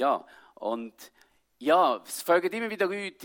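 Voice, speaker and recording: In a Swiss accent, the voice sounds animated and swings very widely in pitch, in a very clean recording with a silent background. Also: man. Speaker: pastor and missionary. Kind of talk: sermon. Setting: church service with audience.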